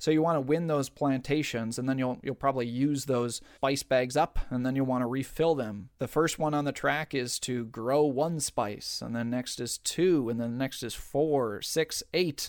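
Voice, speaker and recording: With hardly any pauses, a man talks at a medium pitch in an ordinary speaking voice. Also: moderate pace. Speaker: podcast host and game teacher. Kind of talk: tutorial. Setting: studio.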